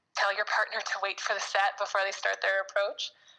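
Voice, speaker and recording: Speaking at a fairly quick pace, a woman with a western Canadian accent uses a medium pitch and monotone, flat intonation. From Calgary, Canada. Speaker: volleyball player. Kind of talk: interview.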